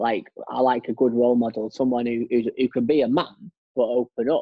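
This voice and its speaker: A man with an ordinary speaking voice talks at a moderate pace in a medium pitch, his intonation fairly even. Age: young. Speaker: podcast host. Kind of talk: casual chat.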